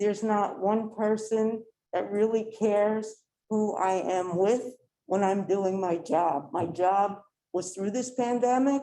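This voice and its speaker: At a moderate pace, a woman with a fairly high pitch speaks in a dark, mellow tone with ordinary pitch variation. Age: 60s. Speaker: laboratory scientist and activist. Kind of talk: public comment at council meeting. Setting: council meeting room with audience.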